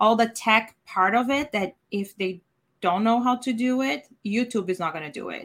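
On a very clean recording with a silent background, a woman with a Portuguese accent speaks at a moderate pace with ordinary pitch variation. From Brazil. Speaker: virtual event producer. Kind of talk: video interview.

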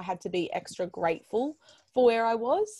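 A woman speaks fairly slowly with an Australian accent, the sound dry and close with no echo. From Melbourne, Australia. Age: 20s. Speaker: podcast host and digital educator. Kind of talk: casual interview chat.

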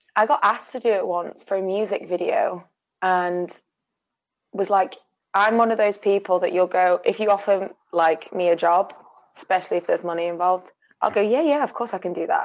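Speaking with a Yorkshire accent, a woman uses a medium pitch. Her pace is fairly quick, with ordinary pitch variation. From Sheffield, northern England. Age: 20s. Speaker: film production manager. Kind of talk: casual chat.

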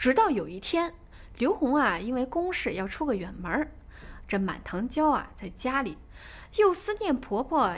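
An animated woman's high voice with very wide pitch swings at a fairly slow pace. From China, Shaanxi. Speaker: podcast storyteller. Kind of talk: storytelling narration.

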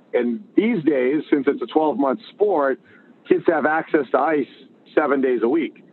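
With an ordinary speaking voice, a man talks at a fairly slow pace with ordinary pitch variation. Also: fairly high pitch for a man. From Massachusetts (Boston area). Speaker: hockey coach and entrepreneur. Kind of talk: interview.

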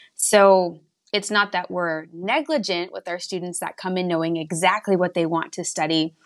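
Recorded very cleanly over a silent background, a woman with an American accent and an ordinary speaking voice talks at a moderate pace, her medium pitch carried in fairly even intonation. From West Texas. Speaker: college admissions counselor. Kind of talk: interview.

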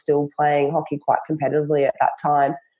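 A woman speaks with an Australian accent. Her tone is dark and mellow. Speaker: naturopath and nutritionist. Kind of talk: interview conversation.

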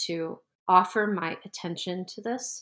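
An ordinary speaking voice, a woman with an American accent talks in a fairly low pitch with fairly even intonation on a very clean recording with a silent background. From US Northeast, New Jersey. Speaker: tarot teacher. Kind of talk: interview conversation.

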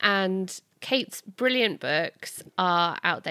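Recorded dry and close with no echo against a silent background in a very clean recording, a woman speaks with very wide pitch swings. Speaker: podcast host. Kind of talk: casual chat.

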